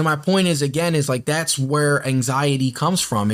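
An ordinary speaking voice: a man talking at a moderate pace with a fairly high pitch and ordinary pitch variation, in a very clean recording with a silent background. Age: 20s. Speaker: podcast host. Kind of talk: casual monologue; horoscope reading. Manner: rambling, filler-heavy (um, like).

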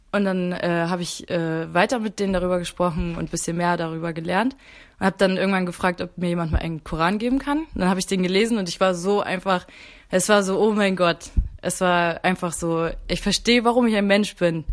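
Moving at a fairly quick pace, a woman speaks at a medium pitch with ordinary pitch variation. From Mecklenburg, northern Germany. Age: 20s. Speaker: university student, convert to Islam. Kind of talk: casual chat.

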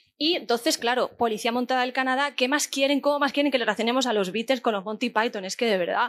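A woman's high-pitched voice at a very fast pace with hardly any pauses, on a very clean recording with a silent background. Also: ordinary pitch variation. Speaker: podcast host. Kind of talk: live podcast recording; scripted narration. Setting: stage with audience.

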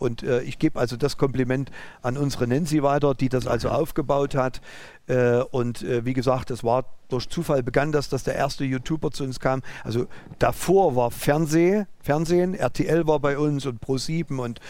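A man with a fairly high pitch and ordinary pitch variation talks at a moderate pace, captured in a very clean recording against a silent background. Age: 50s. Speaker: driving school owner and entrepreneur. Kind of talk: interview. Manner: halting.

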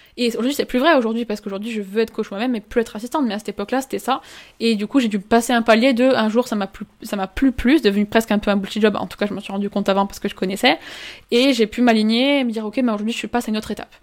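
A woman speaks at a very fast pace in a fairly high voice with fairly even intonation, on a very clean recording with a silent background. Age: 20s. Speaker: life coach. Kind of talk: interview.

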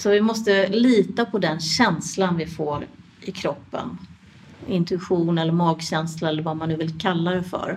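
A fairly low-pitched woman's voice amid noticeable background noise. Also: ordinary pitch variation, fairly slow pace. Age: 50s. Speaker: midwife and yoga teacher. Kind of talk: interview.

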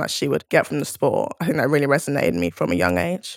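In a South London accent, a woman speaks at a very deep, low pitch with vocal fry and lively intonation. The recording is very clean with a silent background. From South London, England (Crystal Palace). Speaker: rugby player. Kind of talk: podcast interview monologue.

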